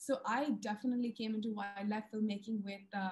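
A woman's fairly high, somewhat breathy voice at a fairly quick pace, with ordinary pitch variation. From India. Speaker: wildlife filmmaker and TV presenter. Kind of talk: webinar presentation. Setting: video call. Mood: warm, enthusiastic. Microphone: video call.

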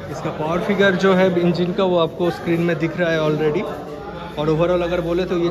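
Crowd noise fills the background as a man talks at a moderate pace. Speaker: bike reviewer vlogger. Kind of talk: casual product walkaround commentary. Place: shop. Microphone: phone near.

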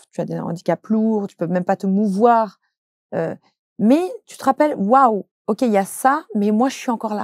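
A woman with a fairly high pitch and ordinary pitch variation leaves long, frequent pauses, her loudness swinging widely. The sound is dry with no echo, and the background is quiet. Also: moderate pace. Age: 30s. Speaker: social media content creator and trainer; social media content creator, trainer. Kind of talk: interview. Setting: studio. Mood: open, personal, reflective. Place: studio.

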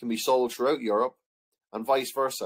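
The speaker is a man with an Irish accent. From Ireland. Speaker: history teacher. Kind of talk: lecture. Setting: online video lesson.

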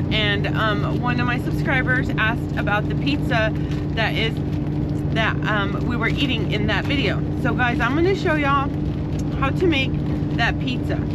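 Loud background noise surrounds a woman speaking at a moderate pace with long, frequent pauses, in a dry sound with no echo. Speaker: truck driver vlogger. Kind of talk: casual vlog chat, cooking tutorial. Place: car. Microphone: camera far.

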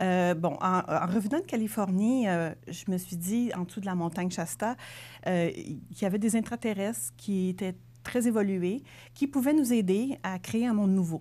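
A normal speaking voice moves at a moderate pace with lively intonation. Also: woman, medium pitch for a woman. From Quebec City region, Quebec; Quebec. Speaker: self-published author; interviewee. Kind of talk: TV interview. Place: studio. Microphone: lapel.

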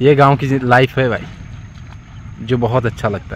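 At a fairly slow pace, a man speaks in a medium pitch over faint background noise.

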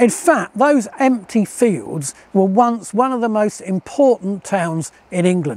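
A man speaks at a fairly slow pace with a high pitch. The sound is dry, with no echo. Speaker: local historian guide. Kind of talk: documentary presentation to camera. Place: waterside.

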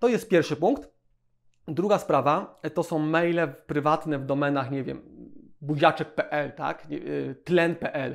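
Delivered at a very slow pace with long, frequent pauses, the speech shows ordinary pitch variation against a quiet background. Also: man, fairly high pitch for a man. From Poland. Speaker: web agency owner. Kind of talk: tutorial. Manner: casual, repetitive fillers. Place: office. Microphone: lapel.

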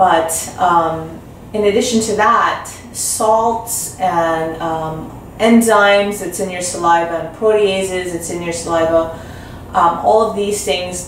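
A woman's fairly low voice at a fairly slow pace, with audible room echo and light background noise. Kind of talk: interview answer. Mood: calm, explanatory. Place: office.

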